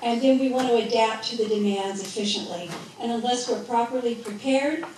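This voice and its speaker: The speaker moves at a fairly quick pace with ordinary pitch variation, amid audible room echo and noticeable background noise. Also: woman, fairly high pitch for a woman. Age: 60s. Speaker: preparedness speaker, former EMT instructor. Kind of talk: rally presentation. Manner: fast.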